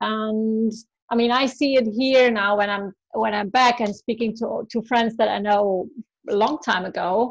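Fairly slow and fairly high-pitched, a woman talks in a normal speaking voice. Her intonation is fairly even. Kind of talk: casual chat.

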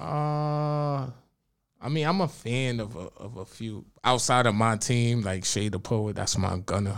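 A man with an American accent talks at a fairly slow pace, his pitch medium and his intonation lively. It is an unremarkable speaking voice, on a very clean recording with a silent background. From Bronx, New York. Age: 30s. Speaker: poet. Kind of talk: casual chat.

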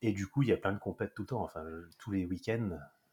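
A somewhat breathy man talks with ordinary variation in his pitch. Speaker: athletics meeting organiser. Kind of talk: casual interview. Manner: hesitant, repetitive.

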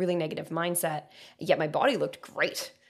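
Speaking at a very fast pace, a woman uses a fairly low pitch. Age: 30s. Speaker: podcast host and coach. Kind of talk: casual chat.

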